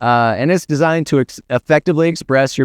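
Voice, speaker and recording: Fairly quick speech with ordinary pitch variation, in a dry, close sound with no echo over a quiet background. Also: man. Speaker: conference speaker. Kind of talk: conference talk. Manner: fast.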